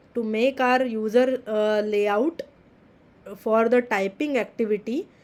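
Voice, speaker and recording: Speaking very slowly with a non-native accent, a woman uses a fairly high pitch and ordinary pitch variation. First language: not English. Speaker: teaching assistant. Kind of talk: tutorial. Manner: halting.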